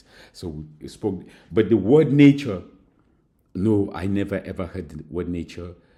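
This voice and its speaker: A man's dark, mellow tone at a moderate pace, with audible room echo. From Cameroon. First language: Mankon. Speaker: university lecturer. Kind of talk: recorded lecture. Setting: recorded alone at school. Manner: halting, many fillers.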